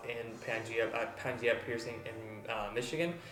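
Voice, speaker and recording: With audible room echo and noticeable background noise, a man speaks at a medium pitch and a fairly slow pace. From Mexico, Tijuana. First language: Spanish. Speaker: body piercer. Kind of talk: tutorial. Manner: halting, many fillers.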